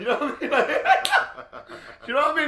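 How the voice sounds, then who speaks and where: A man speaks in a raised, projected voice, with audible room echo and noticeable background noise. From Birmingham, England. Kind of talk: casual chat. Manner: animated.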